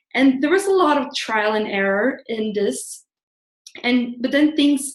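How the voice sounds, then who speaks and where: Someone talks at a fairly slow pace in a Swedish accent. The pitch variation is ordinary. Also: woman. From Sweden. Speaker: blogger and career coach. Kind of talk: live webinar presentation. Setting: online webinar. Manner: casual, with filler words.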